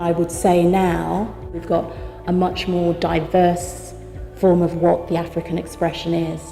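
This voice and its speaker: A woman's fairly low, monotone voice in a southern English accent, flat in intonation, with music in the background. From Oxford, England. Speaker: actor and storyteller. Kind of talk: interview answer.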